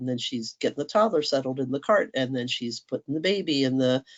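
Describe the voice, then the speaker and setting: The speaker is a woman with lively intonation. Her delivery is fairly quick. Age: 60s. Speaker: workshop speaker, veteran homeschooling mother. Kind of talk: conference workshop talk. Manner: conversational, with frequent fillers.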